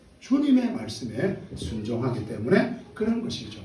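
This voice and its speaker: Amid noticeable background noise and audible room echo, a man speaks fairly slowly in a high pitch with very wide pitch swings. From Gyeongsang province, South Korea. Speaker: pastor. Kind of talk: sermon.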